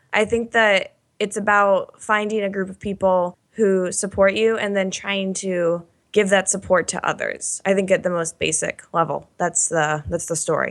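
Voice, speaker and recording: A woman talks in an unremarkable speaking voice at medium pitch and a moderate pace. Her intonation stays fairly even, and the recording is very clean with a silent background. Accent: American. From Oklahoma. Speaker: managing editor. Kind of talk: podcast discussion.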